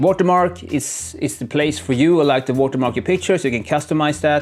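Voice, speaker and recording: A man with a non-native accent talks at a fairly quick pace in a fairly high pitch, his intonation lively, with music playing in the background. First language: not English. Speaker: tech youtuber. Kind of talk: tutorial. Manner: unscripted, casual. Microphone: poor camera mic at start.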